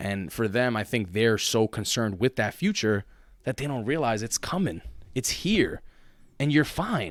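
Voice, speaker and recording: Moderate pace and lively intonation from a man with a New York accent, medium pitch and an animated tone, in a very clean recording with a silent background. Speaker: podcast co-host and teacher. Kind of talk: casual chat.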